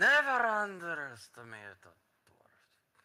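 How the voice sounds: Loud and in a put-on character voice, the speaker goes at a fairly slow pace with very wide pitch swings. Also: man, high pitch for a man.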